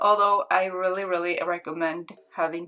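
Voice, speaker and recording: Here a woman speaks at a moderate rate. Her voice sits fairly low. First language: not English. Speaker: beauty YouTuber. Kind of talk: makeup swatch tutorial. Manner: casual, repetitive, filler-heavy; enthusiastic.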